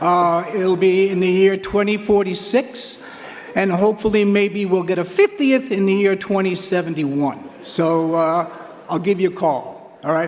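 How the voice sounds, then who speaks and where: A man speaks with an American accent and a high pitch. His pitch variation is ordinary, and background noise is noticeable. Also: moderate pace. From New York, Queens. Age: 70s. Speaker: track and field coach, hall of fame inductee. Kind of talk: acceptance speech.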